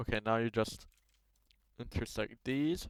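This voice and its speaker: Recorded with a dry, close sound and no echo, a man of medium pitch speaks at a moderate pace with a non-native accent. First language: not English. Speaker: Roblox tutorial maker. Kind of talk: screen-recorded tutorial. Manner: casual, halting with many fillers.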